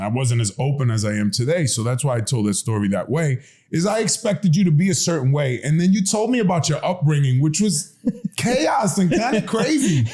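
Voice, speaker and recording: With a fairly high pitch for a man, this somewhat breathy, dark and mellow voice moves at a fairly quick pace through very wide pitch swings. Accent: American. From the Bronx, New York. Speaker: podcast host. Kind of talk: interview conversation.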